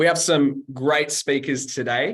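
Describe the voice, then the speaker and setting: A man with a Sydney accent speaks with ordinary pitch variation. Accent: Australian (Western Sydney). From Australia, Western Sydney. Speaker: webinar host, customer success staff. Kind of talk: panel webinar hosting. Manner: casual, filler-heavy.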